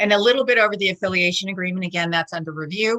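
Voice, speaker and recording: A woman with a fairly low pitch and a bright, sharp tone is heard in a dry, close recording with no echo. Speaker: charity executive presenter. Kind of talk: presentation. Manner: fast.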